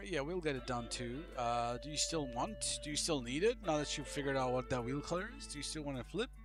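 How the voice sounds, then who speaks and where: Very fast speech from a man, with music behind him. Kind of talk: fluent English; casual, gaming chat.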